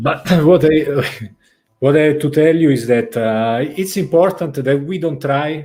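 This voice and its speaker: With an Italian accent, a dark, mellow voice speaks at a fairly slow pace. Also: man. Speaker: vlogger. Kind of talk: casual chat.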